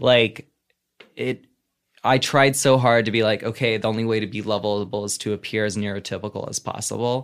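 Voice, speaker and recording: With an American accent, a man with an unremarkable speaking voice talks at a medium pitch and a fairly quick pace, his intonation fairly even. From US South. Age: 30s. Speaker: comedian. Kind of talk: casual chat. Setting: video call.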